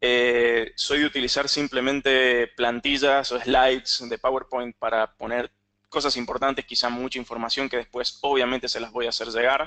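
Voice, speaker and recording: The man's bright, sharp voice comes through in a monotone, flat intonation, with a dry, close sound and no echo. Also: medium pitch for a man, moderate pace. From Argentina, San Juan. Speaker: cloud technology architect, webinar presenter. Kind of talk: webinar presentation with live demo. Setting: online webinar.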